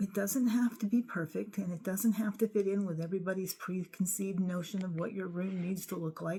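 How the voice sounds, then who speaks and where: The voice has a dark, mellow tone and is somewhat breathy. It moves at a fairly quick pace with hardly any pauses. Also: woman, medium pitch for a woman. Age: 60s. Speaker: craft and journaling vlogger. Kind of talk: room tour vlog. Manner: animated.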